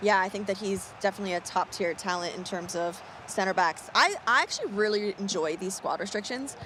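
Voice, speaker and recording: A plain, everyday voice with an American accent speaks at a fairly quick pace. It shows ordinary pitch variation and hardly any pauses. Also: woman, medium pitch for a woman. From United States. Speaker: esports commentator. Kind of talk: live commentary.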